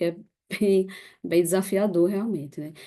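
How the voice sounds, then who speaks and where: Against a quiet background, a dark, mellow voice with a Recife accent speaks in a monotone, flat intonation. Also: woman. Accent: northeastern Brazilian (Recife), noticeable. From Brazil, Recife (Pernambuco). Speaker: NGO staff member presenting a case. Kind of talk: online presentation with slides.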